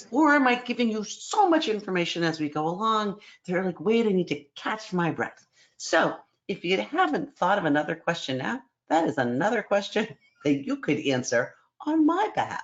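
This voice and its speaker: The speaker is a woman at a medium pitch. Her pitch swings very widely. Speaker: psychology program director. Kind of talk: online information session presentation. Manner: fast.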